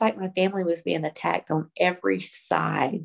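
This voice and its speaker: With a Southern US accent, a woman talks at a moderate pace in a fairly low pitch. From US South. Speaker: pastor's wife. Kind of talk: casual chat.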